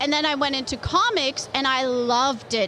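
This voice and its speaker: A woman with a Canadian accent uses a raised, projected voice at a high pitch. There is noticeable background noise. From Canada. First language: Polish. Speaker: comic book artist. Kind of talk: interview.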